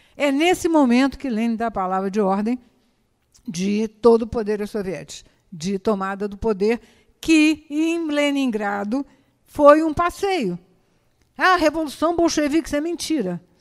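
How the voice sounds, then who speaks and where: The woman speaks with a high voice and very wide pitch swings. Her pace is fairly slow, with long, frequent pauses. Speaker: historian giving a talk. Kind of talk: lecture. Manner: halting, many fillers and repetitions.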